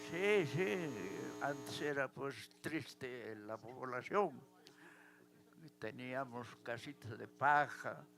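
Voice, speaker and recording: Over music in the background, a man talks at a very slow pace with ordinary pitch variation. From Peru, Challhuahuacho, Apurímac. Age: 80s+. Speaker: elderly local resident. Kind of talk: interview at live event.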